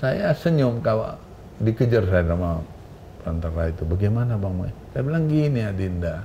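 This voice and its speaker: A man with a fairly low voice talks at a moderate pace, his pitch swinging very widely. Room echo is audible. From Indonesia, North Sumatra. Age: 70s. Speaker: businessman and wildlife conservationist. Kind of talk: interview conversation. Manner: animated.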